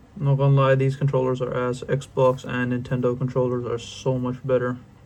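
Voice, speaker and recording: A flat, monotone delivery with an American accent at a fairly quick pace. Noticeable background noise sits behind the voice. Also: man, medium pitch for a man. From outside the US. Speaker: youtuber. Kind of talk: casual interactive drawing tutorial. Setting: home bedroom. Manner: quieter than usual; casual, slangy.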